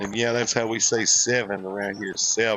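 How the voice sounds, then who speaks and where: A man speaks in a Southern US accent with a relaxed tone. Music plays in the background. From US South. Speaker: gaming streamer. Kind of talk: live stream gameplay commentary. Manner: casual, relaxed.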